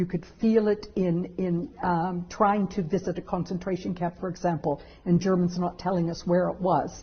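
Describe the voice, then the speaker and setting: At a moderate pace and with hardly any pauses, a woman talks in a somewhat breathy, fairly low voice with fairly even intonation. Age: 60s. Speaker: law professor. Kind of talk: interview.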